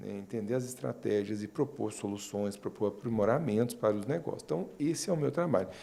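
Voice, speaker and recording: At a moderate pace, a man with a dark, mellow tone speaks in very wide pitch swings. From Minas Gerais, Brazil (Uberlândia). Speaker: marketing consultant. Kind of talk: interview.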